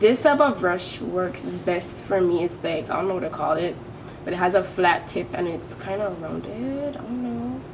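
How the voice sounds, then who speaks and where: A Caribbean accent with very wide pitch swings at a moderate pace, with audible room echo and noticeable background noise. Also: woman, fairly low pitch for a woman. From British Virgin Islands. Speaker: beauty vlogger. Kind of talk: makeup tutorial. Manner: casual, chatty.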